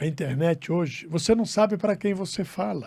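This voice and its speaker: A man's fairly slow delivery with lively intonation, on a very clean recording against a silent background. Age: 60s. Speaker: radio broadcaster. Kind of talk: interview. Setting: studio. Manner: halting.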